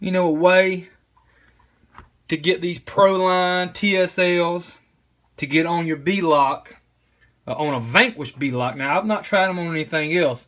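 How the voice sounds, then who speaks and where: A man with a strong East Tennessee accent speaks at a fairly slow pace in a high pitch, with long, frequent pauses. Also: ordinary pitch variation. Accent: thick East Tennessee. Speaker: RC crawler hobbyist. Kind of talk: tutorial. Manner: halting, many fillers and repeats; casual.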